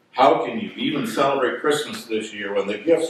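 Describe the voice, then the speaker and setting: Audible room echo surrounds a man talking at a fairly quick pace with lively intonation. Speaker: pastor. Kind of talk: sermon. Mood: lightly humorous. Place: church.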